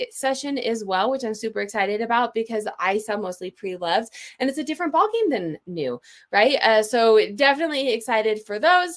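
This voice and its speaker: This woman talks at a fairly quick pace. Her fairly high voice has lively intonation. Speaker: online seller and presenter. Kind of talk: webinar presentation. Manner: fast.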